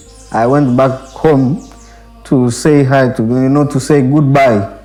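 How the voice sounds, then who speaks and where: Someone talks at a very slow pace amid noticeable background noise and audible room echo. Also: man. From DR Congo, Butembo. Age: young. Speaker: monk in training. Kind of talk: interview testimony. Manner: halting, repeats words.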